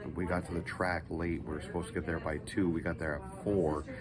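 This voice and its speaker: A man with a very deep, low pitch talks at a fairly quick pace with fairly even intonation, and the room echo is audible. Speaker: amateur race car driver and charity founder. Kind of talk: casual vlog. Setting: hospital room. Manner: soft-spoken.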